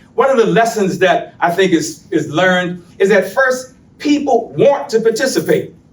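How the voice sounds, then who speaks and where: At a moderate pace with hardly any pauses, a man speaks at a high pitch with very wide pitch swings, and audible room echo fills the sound. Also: very even loudness. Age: 70s. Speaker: community activist. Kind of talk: public presentation. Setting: public meeting.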